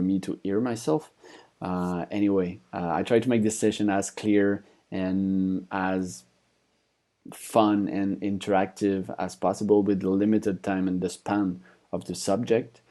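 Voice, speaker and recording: A man's very deep, low voice with a dark, mellow tone and a French accent, fairly even intonation, and a quiet background. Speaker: conference speaker, company founder. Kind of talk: conference presentation. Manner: hesitant, many fillers.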